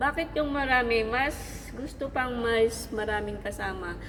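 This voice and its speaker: Audible room echo and noticeable background noise fill the recording. A woman talks at a fairly slow pace. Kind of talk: Bible reading and devotional sharing. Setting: in a mall. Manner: halting.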